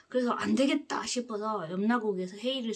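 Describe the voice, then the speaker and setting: Her pitch fairly high, a woman speaks at a fairly slow pace with lively intonation. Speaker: spiritual lecturer, book reader. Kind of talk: lecture on the afterlife. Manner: hesitant with many fillers and restarts.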